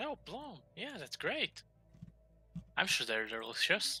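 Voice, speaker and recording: Putting on a character voice, a man talks at a fairly slow pace. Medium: actual play.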